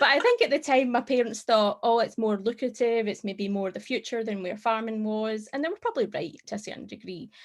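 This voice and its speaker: This woman has a Scottish accent and a fairly high pitch, speaking at a fairly quick pace with hardly any pauses. Her pitch varies in an ordinary way while her loudness swings widely. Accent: Scottish brogue. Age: 30s. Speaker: tech professional. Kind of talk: casual chat.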